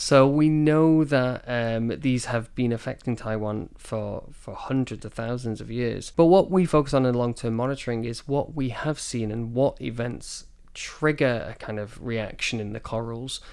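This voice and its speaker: A man with a Manchester accent speaks at a medium pitch and moderate pace. He hardly pauses, and the recording is very clean with a silent background. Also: ordinary pitch variation, big swings in loudness. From northern England, Manchester. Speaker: marine biologist. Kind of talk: interview. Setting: studio.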